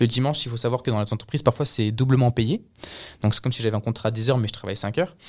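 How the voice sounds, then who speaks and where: The man talks at a very fast pace with fairly even intonation. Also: medium pitch for a man. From France (raised mainly in France since 2007, born in Colombia, lived in Canada). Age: 20s. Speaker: work-study student. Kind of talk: interview.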